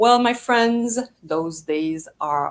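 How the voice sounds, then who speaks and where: Lively in intonation, a woman talks with a French Canadian accent. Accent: typical French Canadian. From Canada (French Canadian). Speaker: PR agency founder. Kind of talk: live talk to audience. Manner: enthusiastic, halting.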